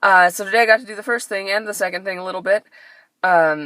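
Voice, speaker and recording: A woman with an American accent has a bright, sharp tone and ordinary pitch variation, recorded dry and close with no echo. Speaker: actor and vlogger. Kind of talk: casual vlog. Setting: in a car. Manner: animated.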